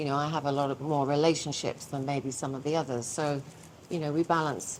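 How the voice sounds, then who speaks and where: A woman with a very deep, low voice, a monotone, flat delivery and a fairly quick pace. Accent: British. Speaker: publishing business owner. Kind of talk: podcast interview.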